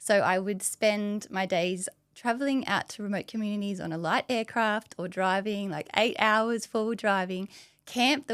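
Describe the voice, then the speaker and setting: A woman with an Australian accent at medium pitch, fairly slow in pace with ordinary pitch variation, dry and close with no echo on a very clean recording with a silent background. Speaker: dietitian. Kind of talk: podcast interview.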